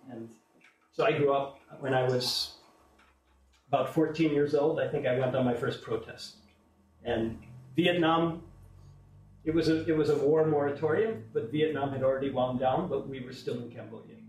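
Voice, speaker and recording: A man with an American accent talks at a moderate pace, using long, frequent pauses and a fairly high, somewhat breathy voice. His pitch varies in an ordinary way, and the room echo is audible. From USA. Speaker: invited speaker on alternative economics. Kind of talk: public talk to an audience.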